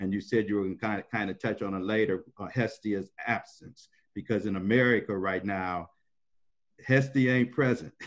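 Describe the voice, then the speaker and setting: In a normal speaking voice, a man talks at a moderate pace with ordinary pitch variation against a quiet background. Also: fairly low pitch for a man. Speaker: panelist, former student; panelist. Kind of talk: casual panel discussion. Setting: video call. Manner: casual. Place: home room. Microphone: video call.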